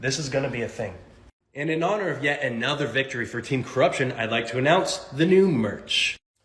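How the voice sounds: A man talks at a fairly quick pace, his fairly bright tone carried by lively intonation. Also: medium pitch for a man.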